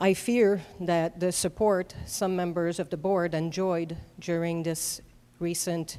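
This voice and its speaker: With a French Canadian accent, the speaker uses a dark, mellow tone and monotone, flat intonation at a very slow pace. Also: woman, fairly low pitch for a woman. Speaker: public commenter at school board meeting. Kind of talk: prepared public comment. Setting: school board meeting. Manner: formal.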